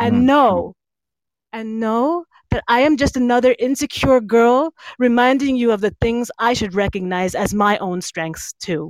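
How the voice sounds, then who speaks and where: A woman's normal speaking voice, fairly high, in an American accent, moderate pace, ordinary pitch variation, dry and close with no echo. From New Jersey, US. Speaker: poet. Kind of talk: casual chat and poetry performance, trivia game. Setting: live stream online.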